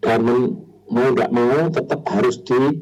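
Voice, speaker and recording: A man's medium-pitched voice at a very slow pace. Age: 60s. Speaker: hypnotherapist sharing on a radio talk. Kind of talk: radio talk show discussion. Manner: hesitant, many fillers.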